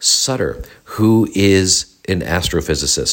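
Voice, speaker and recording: This recording is very clean, and the background is silent. The speaker is a man. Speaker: podcast host and fascia specialist. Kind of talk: casual solo update. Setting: home office studio being renovated.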